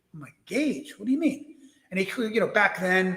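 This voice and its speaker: A man's lively, fairly quick speech in a New York accent. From US Northeast (Brooklyn, New York). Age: 60s. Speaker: wreck diver and author. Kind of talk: interview storytelling. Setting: live stream interview.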